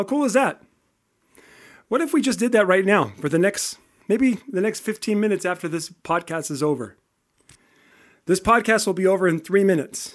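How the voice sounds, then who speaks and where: A man speaks loudly in an animated tone, his pitch high and his intonation lively. His pace is moderate, broken by long, frequent pauses. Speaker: podcast host and strengths coach. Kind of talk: solo podcast monologue.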